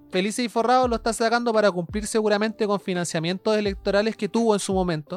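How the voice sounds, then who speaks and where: Speaking very fast with hardly any pauses, a woman with a Chilean accent keeps her medium pitch in fairly even intonation. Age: 20s. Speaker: podcast host. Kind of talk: casual chat.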